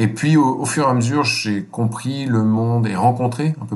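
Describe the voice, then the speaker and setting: A man speaks at a moderate pace, his pitch varying in an ordinary way, with noticeable background noise present. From France, Normandy. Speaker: NGO chief executive. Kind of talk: interview. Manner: hesitant, many fillers and repetitions.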